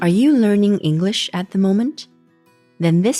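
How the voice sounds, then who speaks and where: With music in the background, the speaker talks at a moderate pace with lively intonation in a dry, close sound with no echo. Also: woman. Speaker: podcast host. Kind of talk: podcast intro.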